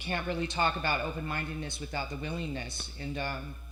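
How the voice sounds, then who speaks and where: A woman talks at a moderate pace with noticeable background noise around her. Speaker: recovering addict speaker at a meeting. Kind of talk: recovery meeting share. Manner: halting.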